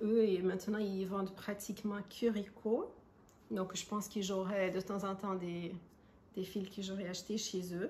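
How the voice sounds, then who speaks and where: A woman's medium-pitched voice with a non-native accent, monotone and flat, at a fairly slow pace. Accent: foreign accent in French. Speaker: crochet and knitting podcaster. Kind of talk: casual crafting podcast monologue. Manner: hesitant, many fillers.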